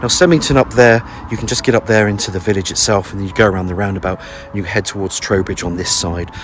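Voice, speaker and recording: Amid noticeable background noise, a man with a very deep, low pitch speaks at a very fast pace with ordinary pitch variation. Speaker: estate agent. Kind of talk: property tour walkthrough. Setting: outdoors. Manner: casual, filler-heavy; whispering.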